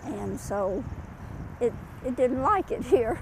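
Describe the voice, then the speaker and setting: Over noticeable background noise, a woman talks very slowly in a high voice. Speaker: homeowner. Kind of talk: interview answer.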